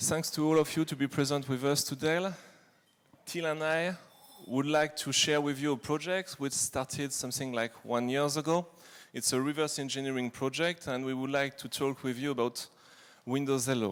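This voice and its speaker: In a French accent, a man speaks at a moderate pace with a fairly high voice and fairly even intonation. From France. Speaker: reverse engineer, security researcher. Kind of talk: conference talk.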